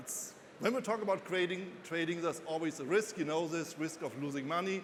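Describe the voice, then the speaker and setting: In a German accent, a man speaks at a high pitch with audible room echo. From Germany. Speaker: financial analyst and author. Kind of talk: conference talk. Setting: stage with audience.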